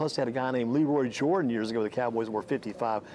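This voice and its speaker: A man speaks at a very fast pace over light background noise. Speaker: interview host. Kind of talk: interview chat. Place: shop. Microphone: lapel.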